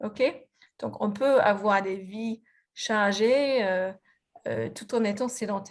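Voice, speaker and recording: A woman speaks at a very slow pace. Her pitch sits in the medium range, with fairly even intonation. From Australia, Melbourne. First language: English (speaking French). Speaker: physiotherapist and researcher. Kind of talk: lecture presentation. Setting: video conference. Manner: halting, many fillers and restarts.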